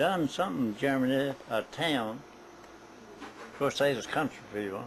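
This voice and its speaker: With a strong Southern US accent, a man speaks at a very slow pace. His intonation is lively. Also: medium pitch for a man. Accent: thick Southern US. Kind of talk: family oral history interview answer.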